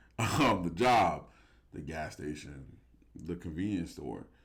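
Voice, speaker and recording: This man has a very deep, low voice. He talks at a moderate pace, and room echo can be heard. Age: 30s. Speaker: podcast host. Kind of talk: casual chat.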